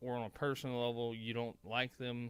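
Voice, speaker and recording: A man talks at a moderate pace with a strong Southern US accent. His pitch sits in the middle range. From Mississippi. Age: 30s. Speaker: political commentator. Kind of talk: casual monologue commentary. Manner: halting, stumbling; animated.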